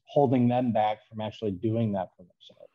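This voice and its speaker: A man with an unremarkable speaking voice and an American accent, at a medium pitch and a moderate pace. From northern New York. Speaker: fitness coach. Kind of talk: casual interview.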